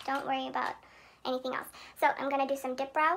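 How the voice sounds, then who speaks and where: A woman speaks over noticeable background noise. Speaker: beauty vlogger. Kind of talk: makeup tutorial narration.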